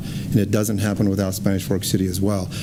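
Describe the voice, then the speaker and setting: Amid noticeable background noise and audible room echo, a man with an American accent speaks at a fairly quick pace and fairly low pitch. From Utah. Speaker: city council member. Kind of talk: public comment. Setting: public meeting.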